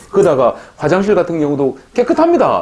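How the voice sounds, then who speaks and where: A man talks at a fairly quick pace with a high pitch. His pitch swings very widely. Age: 60s. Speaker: YouTuber on life in the Philippines. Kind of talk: casual monologue vlog. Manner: animated.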